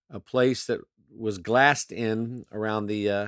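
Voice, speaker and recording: On a very clean recording with a silent background, a man with an American accent and a plain, everyday voice speaks at a fairly slow pace with a fairly low pitch and fairly even intonation. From Maryland, US (Pasadena). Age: 60s. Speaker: radio host. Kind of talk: casual personal monologue. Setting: bedroom in childhood home. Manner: reflective, conversational. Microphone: not home studio, may sound different.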